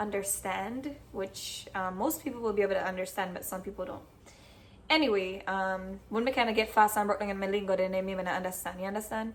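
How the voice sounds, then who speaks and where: A woman with a Jamaican accent, medium pitch, ordinary pitch variation and a fairly quick pace. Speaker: cooking vlogger. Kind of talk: casual cooking tutorial in patois. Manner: casual, chatty.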